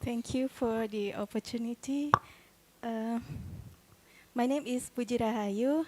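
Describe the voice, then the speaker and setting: With an Indonesian accent, the speaker goes at a fairly slow pace with long, frequent pauses and fairly even intonation, the sound dry and close without echo. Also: woman, high pitch for a woman. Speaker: doctoral student asking a question. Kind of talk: audience question.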